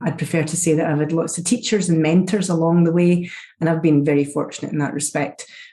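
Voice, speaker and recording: A woman with a Scottish accent speaks at a very fast pace, her fairly low pitch carrying a dark, mellow tone. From Scotland. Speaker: chief information security officer. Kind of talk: interview. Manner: animated.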